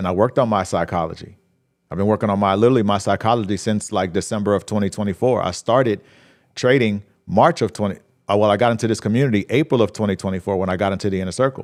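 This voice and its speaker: Over a quiet background, a man speaks at a fairly low pitch with ordinary pitch variation. He goes at a very fast pace. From New Orleans, Louisiana. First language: Spanish. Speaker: trading livestream host. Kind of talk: live stream chat and trading talk. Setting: live stream. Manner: casual, repetitive, conversational.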